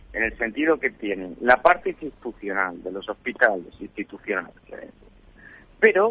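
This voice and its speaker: A man at a moderate pace. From Spain, Extremadura. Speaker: foreign correspondent. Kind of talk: live remote report, conversational. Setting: remote call from hotel in Latin America. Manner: halting, with many restarts. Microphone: unstable signal, connection drops.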